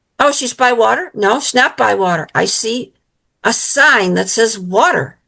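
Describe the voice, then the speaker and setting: At a fairly slow pace, a woman with a fairly high pitch and a bright, sharp tone speaks with vocal fry and very wide pitch swings. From US Midwest, Illinois. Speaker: psychic medium and author. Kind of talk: interview testimony.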